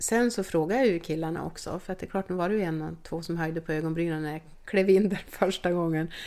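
A woman with a fairly low pitch and a dark, mellow tone talks at a very fast pace with hardly any pauses and fairly even intonation, on a very clean recording with a silent background. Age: 50s. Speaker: team doctor. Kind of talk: interview.

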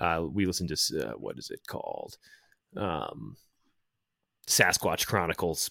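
In a dry, close recording with no echo, a man speaks at a fairly slow pace, his loudness swinging widely between long, frequent pauses. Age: 30s. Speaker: filmmaker and musician, podcaster. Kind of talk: casual interview chat.

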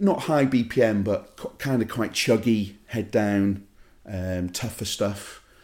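Speaking at a fairly slow pace, a man has a fairly low pitch and a plain, everyday voice. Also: ordinary pitch variation. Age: 40s. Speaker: DJ. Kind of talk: casual chat.

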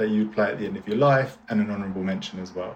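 The speaker is a man with ordinary pitch variation. Noticeable background noise is present. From Orpington, south-east London. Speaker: podcast host. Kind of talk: interview.

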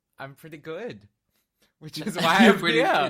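A man with an Australian accent speaks in a bright, sharp tone on a very clean recording with a silent background. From Australia, living in London. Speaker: podcast guest, pop singer-songwriter.

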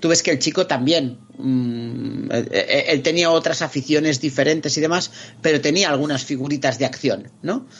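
At a moderate pace and very even loudness, a man talks with fairly high pitch and ordinary pitch variation. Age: 40s. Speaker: video game commentator. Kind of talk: casual chat. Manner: animated.

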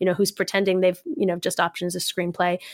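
A woman with an American accent speaks in a normal speaking voice at a medium pitch and a fairly quick pace, in a very clean recording with a silent background and a dry, close sound with no echo. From New York. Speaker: comedian. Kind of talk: casual chat.

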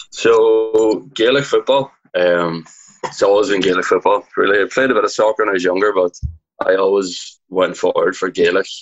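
A man speaks at a moderate pace with a Donegal accent, his loudness very even throughout. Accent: Donegal Irish. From Ireland, Donegal. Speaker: fitness program winner, aspiring personal trainer. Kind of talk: casual chat.

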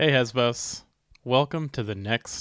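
A man speaks at a medium pitch in a plain, everyday voice. The recording is very clean with a silent background, and the sound is dry and close with no echo. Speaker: podcast host. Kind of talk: casual chat.

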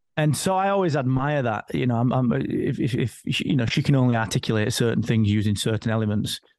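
Over a quiet background, a man with a British accent talks at a fairly quick pace in a medium pitch, with lively intonation, very even loudness and hardly any pauses. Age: 40s. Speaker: business owner and father. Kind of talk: casual chat.

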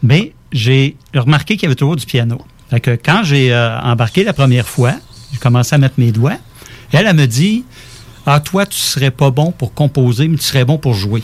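Somewhat breathy, a man speaks with lively intonation. His pace is moderate. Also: medium pitch for a man. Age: 50s. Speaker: musician and composer. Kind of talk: casual interview.

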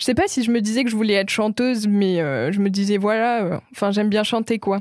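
With a plain, everyday voice, a woman talks at a fairly quick pace, her fairly high pitch held in fairly even intonation. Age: 20s. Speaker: singer and visual artist. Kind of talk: interview. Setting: studio. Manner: soft-spoken.

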